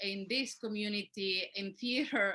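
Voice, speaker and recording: A woman with a Spanish accent speaks at a fairly slow pace. Her tone is bright and sharp. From Mexico. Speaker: community organizer. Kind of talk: panel discussion.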